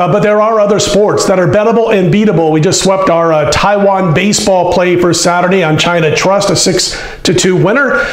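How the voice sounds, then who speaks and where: Audible room echo surrounds a man whose high-pitched voice moves at a fairly quick pace with fairly even intonation. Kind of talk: sports betting commentary. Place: studio. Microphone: lapel.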